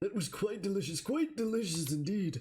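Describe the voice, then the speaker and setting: Putting on a character voice, a man speaks high in pitch with very wide pitch swings at a moderate pace. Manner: put-on character voice.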